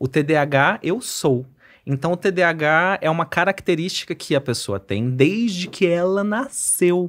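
With a slight Mato Grosso accent, a man speaks very slowly at a high pitch with lively intonation against a quiet background. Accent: slight Cuiabá accent, noticeable in the R. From Cuiabá, Mato Grosso, Brazil; Mato Grosso, Brazil. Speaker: psychiatrist; podcast guest. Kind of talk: casual interview chat. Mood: relaxed, friendly. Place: studio. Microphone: studio mic.

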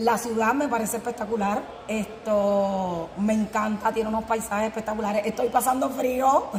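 A woman's fairly high voice at a moderate pace, fairly even in intonation, with audible room echo and light background noise. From Puerto Rico. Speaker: handball player. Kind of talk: interview. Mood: cheerful, relaxed. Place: hall.

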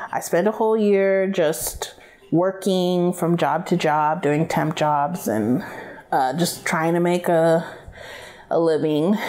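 A woman speaks very slowly in a fairly low voice. Her loudness stays very even and her pitch varies in an ordinary way. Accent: American. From Rio Grande Valley, Texas; Texas. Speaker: costume and makeup designer. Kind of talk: interview. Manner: casual, frequent fillers and laughs. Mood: relaxed, upbeat. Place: home room. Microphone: lapel.

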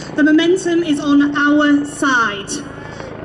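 A woman speaks in a high voice. Noticeable background noise runs under her words. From East Yorkshire, near Hull. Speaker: youth activist. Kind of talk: rally speech. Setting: outdoor stage with crowd. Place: street. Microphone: pa.

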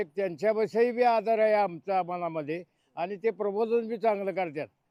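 Dry and close with no echo, a man's voice sits at a high pitch with a dark, mellow tone. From Satara district, Maharashtra. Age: 80s+. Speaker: village elder. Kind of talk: interview.

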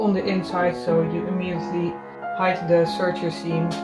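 A woman speaks at a moderate pace, with clear music playing in the background. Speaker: fashion designer. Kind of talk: casual talk while sewing. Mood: calm, focused. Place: home room. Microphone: phone near.

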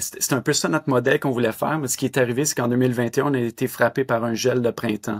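Against a quiet background, a man with a Quebec accent speaks at a medium pitch with fairly even intonation. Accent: Québécois French. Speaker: winery owner; guest. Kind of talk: interview. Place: home room. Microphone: webcam.

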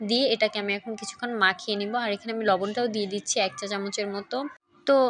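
Noticeable background noise sits behind the speech. Its intonation remains fairly even. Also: woman. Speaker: cooking vlogger. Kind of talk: cooking tutorial.

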